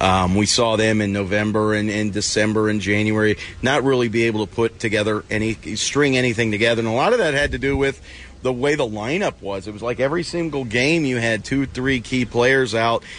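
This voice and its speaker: A man talks at a fairly quick pace with a medium pitch and ordinary pitch variation. Noticeable background noise can be heard. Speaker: hockey journalist. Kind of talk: casual analytical chat about hockey. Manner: filler-heavy, repeats words, loose conversational flow.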